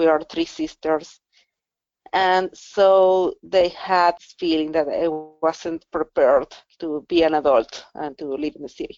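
A woman speaks slowly in a Spanish accent, at fairly low pitch with fairly even intonation. Her loudness swings widely. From Venezuela. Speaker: digital rights policy officer. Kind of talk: interview. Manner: halting, frequent word repetitions.

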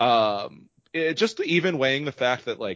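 Moderate pace and medium pitch in a man's voice, a normal speaking voice. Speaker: podcast host. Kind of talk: casual chat.

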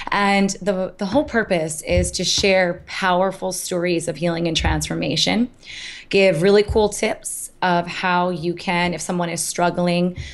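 A woman with an American accent speaks in a normal speaking voice, fairly low in pitch. She keeps a moderate pace and fairly even intonation. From US Northeast, Hudson Valley, New York. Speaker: health coach and motivational speaker. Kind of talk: interview.

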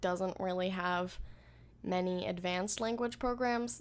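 The woman has an ordinary speaking voice at medium pitch with fairly even intonation. She talks at a moderate pace in a very clean recording with a silent background. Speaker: podcast co-host and language learner. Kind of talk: casual chat.

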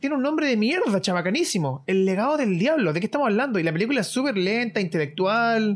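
A man's high voice at a very fast pace, with very wide pitch swings, very even loudness and noticeable background noise. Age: 20s. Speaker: podcast co-host. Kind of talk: casual chat.

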